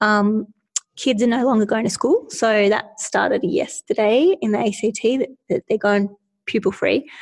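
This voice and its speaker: A woman speaks in a fairly high, somewhat breathy voice. The sound is dry and close, with no echo. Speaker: podcast co-host. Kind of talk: casual chat.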